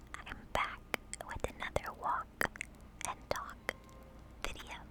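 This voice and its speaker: Noticeable background noise sits under whispered speech delivered at a very slow pace. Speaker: ASMR video creator and walking-tour narrator. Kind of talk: ASMR whispered walk-and-talk history narration. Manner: whispered, soft-spoken.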